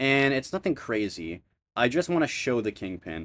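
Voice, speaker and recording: This man is captured in a very clean recording against a silent background. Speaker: YouTuber pitching film ideas. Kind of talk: scripted narration; off-the-cuff outro. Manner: sometimes sloppy narration; hesitant with fillers.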